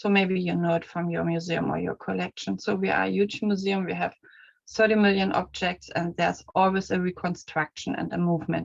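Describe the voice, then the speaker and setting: A woman with a German accent, at a fairly quick pace. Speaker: museum collection manager. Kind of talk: conference presentation. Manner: halting.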